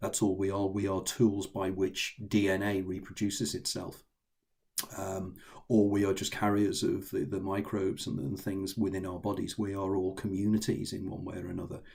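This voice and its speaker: Somewhat breathy and monotone, a man with a fairly low pitch speaks flatly at a moderate pace. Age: 60s. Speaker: author. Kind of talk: interview. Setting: video call. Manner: halting.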